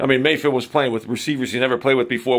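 A man's voice with vocal fry against a quiet background. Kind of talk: casual vlog chat. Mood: opinionated, animated rant. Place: home room. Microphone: phone near.

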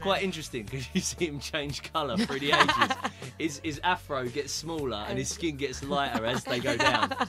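A man with a British accent speaks over loud music in the background. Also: moderate pace. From London. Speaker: radio presenter. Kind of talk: radio show banter. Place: studio.

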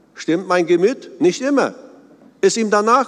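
With a warm tone and lively intonation, a man speaks at a moderate pace. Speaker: preacher. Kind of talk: sermon. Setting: church. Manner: earnest, warm, measured pastoral delivery. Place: church. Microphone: podium.

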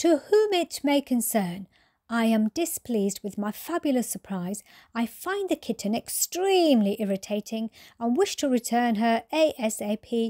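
In a very clean recording with a silent background, a woman with a fairly high pitch and a dark, mellow tone speaks at a fairly slow pace, somewhat breathy and with lively intonation, the sound dry and close with no echo. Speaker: storyteller. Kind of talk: reading aloud. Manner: soothing; calm.

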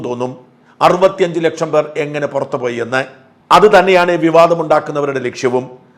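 In an ordinary speaking voice, this man talks with fairly high pitch. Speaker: news commentator. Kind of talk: political commentary monologue.

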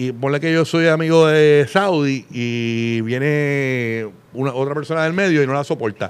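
Here a man talks at a fairly slow pace. His pitch is fairly high, with ordinary variation. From Puerto Rico. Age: 40s. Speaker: radio host; podcast guest, radio host. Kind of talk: casual chat. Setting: studio with live audience. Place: studio. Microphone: studio mic.

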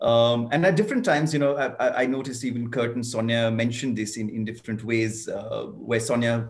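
A man's somewhat breathy voice at a very fast pace, with fairly even intonation and hardly any pauses. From India. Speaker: foundation co-founder. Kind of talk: panel discussion. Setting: video call. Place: home room. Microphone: webcam.

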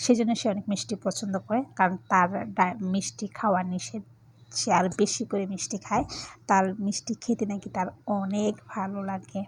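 A woman speaks at a medium pitch with fairly even intonation and a somewhat breathy quality. The recording is very clean, with a silent background. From Bangladesh (grew up partly in Khagrachhari). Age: adult, married. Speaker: vlogger. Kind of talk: casual vlog narration.

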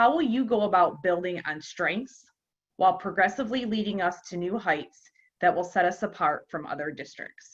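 At a moderate pace, a woman speaks at a medium pitch with ordinary pitch variation. Hers is an unremarkable speaking voice. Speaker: school board member. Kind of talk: reading questions aloud. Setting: board meeting.

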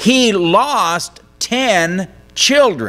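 A man speaks with music in the background. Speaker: pastor. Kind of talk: sermon. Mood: earnest, story-telling. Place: church. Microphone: podium.

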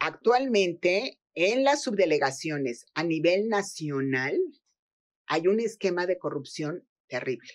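A woman speaks at a very slow pace in a fairly low pitch. Her pitch swings very widely. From Mexico. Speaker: social security and labor law expert; guest. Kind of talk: interview. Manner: halting, with repetitions. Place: studio.

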